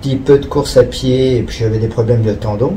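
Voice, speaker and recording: Noticeable background noise and audible room echo accompany this recording. A man speaks at a medium pitch with lively intonation. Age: 60s. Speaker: amateur triathlete. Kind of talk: interview.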